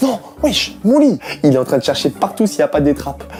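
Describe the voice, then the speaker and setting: Music behind a man talking at an even, moderate speed. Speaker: YouTuber hiding in a secret room. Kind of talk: live commentary.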